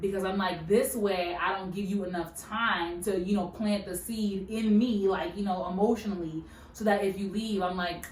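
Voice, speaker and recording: The room echo is audible and background noise is noticeable. Through it, a woman speaks at a moderate speed. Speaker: podcast co-host. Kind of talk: casual chat. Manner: animated.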